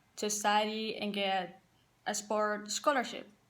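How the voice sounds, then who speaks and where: Audible room echo fills the space around a woman. She speaks fairly slowly at a fairly high pitch. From Paraguay. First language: Spanish. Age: 20s. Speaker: college soccer player and assistant coach. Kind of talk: personal testimony to team.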